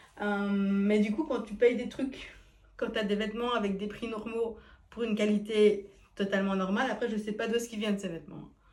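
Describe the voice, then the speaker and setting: A woman's fairly high voice comes at a moderate pace with fairly even intonation, carrying audible room echo and noticeable background noise. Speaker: fashion vlogger trying on clothes. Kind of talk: casual vlog try-on review. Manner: casual, hesitant with fillers.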